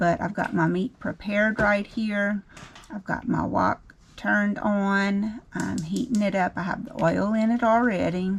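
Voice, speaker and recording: A woman with a Louisiana accent speaks at a fairly slow pace with fairly even intonation. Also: medium pitch for a woman. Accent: Southern US, Louisiana. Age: 50s. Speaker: home cook, cooking channel host. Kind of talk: cooking tutorial. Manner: casual, with frequent filler um.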